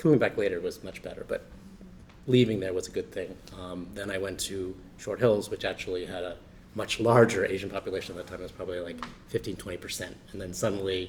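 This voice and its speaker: A man with a New Jersey accent talks at a very fast pace. His loudness swings widely. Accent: New Jersey American English. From New Jersey, US. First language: Chinese dialect. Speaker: panelist. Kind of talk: panel discussion. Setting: library event with audience.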